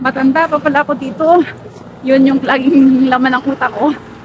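A woman with a high-pitched voice speaks at a fairly quick pace with fairly even intonation, in a dry sound with no echo and noticeable background noise. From Philippines. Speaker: vlogger. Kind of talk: walking vlog. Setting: outdoors. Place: street. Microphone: phone near.

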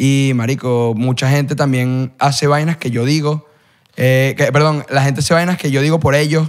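A man's fairly high, monotone, flat voice at a moderate pace over a quiet background. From Venezuela. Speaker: content creator. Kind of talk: casual chat. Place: studio. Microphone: studio mic.

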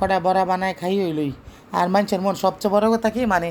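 A woman's medium-pitched voice with a central Bangladeshi accent. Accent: Narsingdi regional dialect. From Narsingdi, Bangladesh. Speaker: cooking vlogger. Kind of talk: casual vlog chat.

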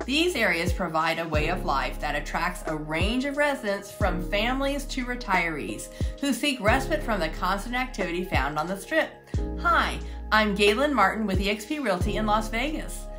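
A woman speaks at a moderate pace while music plays clearly in the background. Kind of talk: scripted presentation. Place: home room.

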